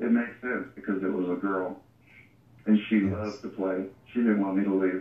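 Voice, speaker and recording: A man at a fairly quick pace. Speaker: near-death experience guest. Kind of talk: interview. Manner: hesitant.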